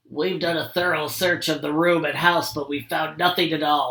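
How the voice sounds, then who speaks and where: Putting on a character voice, a man speaks raspy and fairly high-pitched at a moderate pace. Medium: read story.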